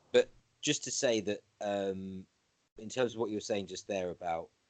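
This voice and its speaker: With a slight British accent, a man speaks at a moderate pace and fairly even intonation, his fairly low pitch heard in a dry, close sound with no echo. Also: long, frequent pauses. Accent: slightly BBC. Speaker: interviewer. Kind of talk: casual conversation. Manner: halting, many fillers.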